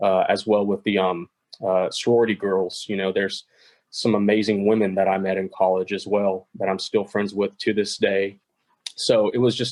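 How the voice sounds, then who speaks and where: Monotone, flat speech from a man in an East Texas accent, fairly low in pitch, at a moderate pace. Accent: Southern US (East Texas). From East Texas (Longview). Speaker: podcast guest. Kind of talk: casual interview chat.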